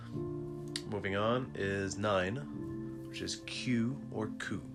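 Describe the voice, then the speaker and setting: Music plays in the background behind a man's voice. His pitch is very deep and low, with very wide swings. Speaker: Japanese learner sharing lessons. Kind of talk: casual talk to camera. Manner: soft-spoken.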